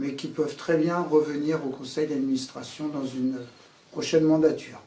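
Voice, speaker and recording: There is audible room echo around a man's voice. It sits fairly high in pitch and has a dark, mellow tone. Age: 60s. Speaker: association board candidate, boat skipper. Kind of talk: candidate self-presentation. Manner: halting, many hesitations.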